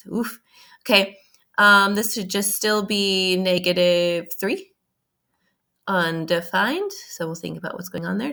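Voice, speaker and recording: At a fairly slow pace, a bright, sharp voice comes through a very clean recording with a silent background. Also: woman. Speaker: math teacher. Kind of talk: recorded lesson. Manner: casual, animated.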